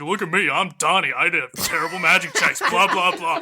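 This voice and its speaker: The pitch sits high for a man. He is doing a put-on character voice. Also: moderate pace. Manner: stomping, swaggering, mocking.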